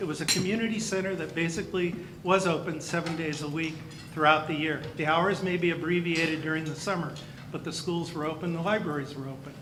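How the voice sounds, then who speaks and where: A man with an American accent and a high pitch at a very fast pace, fairly even intonation, audible room echo and noticeable background noise. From California, Campbell area (Bay Area). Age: 60s. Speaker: county superintendent of schools. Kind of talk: speech at a luncheon. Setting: banquet hall with audience.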